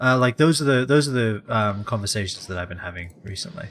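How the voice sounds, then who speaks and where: With a British accent, a man races along at a very fast pace, his pitch swinging very widely. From England. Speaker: video game streamer. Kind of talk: casual live-stream chat. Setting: live stream. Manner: halting, with many fillers and repeats.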